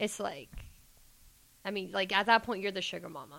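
Her tone bright and sharp, a woman speaks in an American accent. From Georgia, US South. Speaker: guest, club dancer and student. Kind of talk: casual chat interview.

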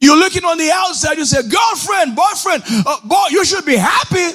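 Over music in the background, a man shouts in an animated tone at an extremely high pitch. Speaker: preacher. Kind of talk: sermon. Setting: church with online chat audience. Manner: loud, call-and-response, repeating phrases.

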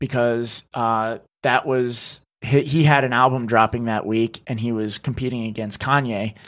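Speaking at a fairly slow pace with hardly any pauses, a man with an American accent keeps a medium pitch and monotone, flat intonation. The sound is dry and close with no echo, on a very clean recording with a silent background. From northern New Jersey. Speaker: social media creator, former producer. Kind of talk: casual interview. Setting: studio video podcast.

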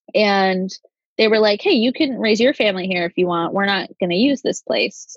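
At a moderate pace, a woman with an unremarkable speaking voice talks at medium pitch with ordinary pitch variation, the sound dry and close with no echo. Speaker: podcast co-host. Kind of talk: casual chat.

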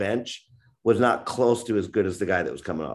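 With an American accent, a man speaks at a medium pitch and a fairly quick pace in an animated tone. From US Northeast, New York. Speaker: author and youth football coach. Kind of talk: casual interview chat. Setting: remote call from Japan. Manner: animated, talkative.

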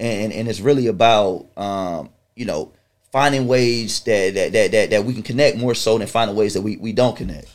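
Speaking with an American accent, a man uses a plain, everyday voice at medium pitch, with ordinary pitch variation and a moderate pace. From Chesapeake, Virginia (Hampton Roads). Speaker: event promoter and entrepreneur. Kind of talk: casual interview.

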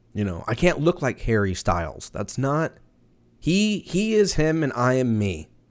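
Recorded very cleanly against a silent background, a man with an American accent speaks at a fairly slow pace and medium pitch, his voice making very wide pitch swings. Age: 30s. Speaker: podcast host. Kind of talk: casual solo monologue. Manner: animated.

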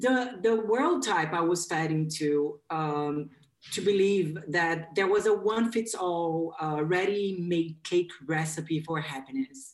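A woman with a Portuguese accent and a fairly low pitch speaks at a very slow pace with lively intonation. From Brazil. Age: 30s. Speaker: life coach. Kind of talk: interview.

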